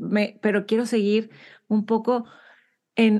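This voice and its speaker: A woman speaks at a medium pitch in a dark, mellow tone. The background is quiet. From Monterrey, Mexico. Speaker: podcast host. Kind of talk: interview conversation.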